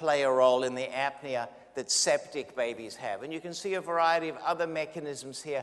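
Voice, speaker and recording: The speaker talks at a fairly quick pace with an Australian accent and ordinary pitch variation. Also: man. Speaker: neonatologist, physician lecturer. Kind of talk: lecture.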